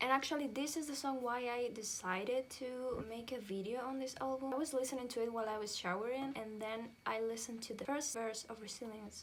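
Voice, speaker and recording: Over noticeable background noise, a woman with a non-native accent talks at a fairly quick pace in a fairly high pitch, her intonation fairly even. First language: not English. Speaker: music reviewer. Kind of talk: casual review vlog.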